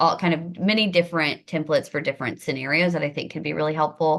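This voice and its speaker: A woman with a very deep, low pitch talks over a quiet background. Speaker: government affairs manager for a school administrators association. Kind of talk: webinar presentation. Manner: fast.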